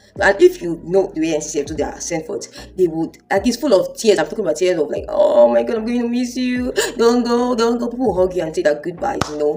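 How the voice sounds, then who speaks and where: Spoken with a Nigerian accent at a very fast pace with hardly any pauses, the voice has an animated tone over noticeable background noise. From Nigeria (Akwa Ibom). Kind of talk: testimony. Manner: loud.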